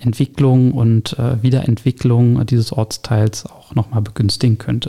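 A man at a medium pitch, fairly slow and fairly even in intonation, with a dry, close sound and no echo. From Berlin (Pankow). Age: 30s. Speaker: district councillor for urban development. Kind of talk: interview. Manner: hesitant, many fillers.

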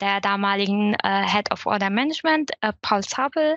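Speaking at a moderate pace, a woman has an ordinary speaking voice with a fairly high pitch and lively intonation. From Syria. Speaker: e-commerce apprentice. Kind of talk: casual chat.

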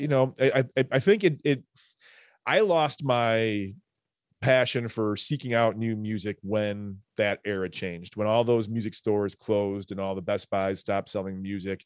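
Recorded dry and close with no echo against a quiet background, a man with a normal speaking voice talks at a moderate pace, fairly low in pitch, with ordinary pitch variation. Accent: American. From Chicago south suburbs. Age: 40s. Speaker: musician and music teacher. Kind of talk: casual chat.

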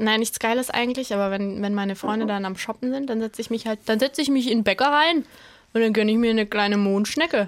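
A woman with a slight Baden accent, fairly high in pitch, with ordinary pitch variation and a very fast pace. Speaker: comedian guest. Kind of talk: casual chat. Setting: studio.

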